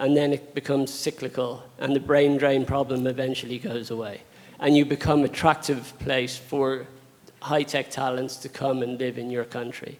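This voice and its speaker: A man speaks with an Irish accent at a medium pitch. His pace is moderate and his intonation monotone and flat. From Ireland. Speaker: audience member. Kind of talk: audience question.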